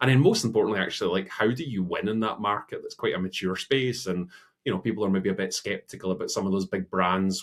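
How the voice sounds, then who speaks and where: A man speaks very fast with a Scottish accent. The recording is very clean, with a silent background. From Scotland. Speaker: innovation consultancy CEO. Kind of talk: interview.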